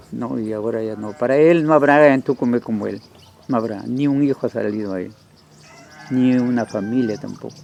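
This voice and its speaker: Noticeable background noise sits behind a man talking at a fairly quick pace. His pitch is medium, with ordinary pitch variation. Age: 70s. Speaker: local elder. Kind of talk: interview. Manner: halting.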